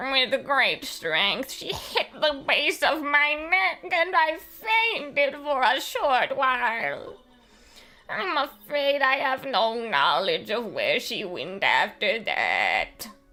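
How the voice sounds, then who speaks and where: Music plays in the background as a female-sounding voice puts on a high-pitched character voice. The delivery is very slow. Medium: game stream. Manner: formal, measured.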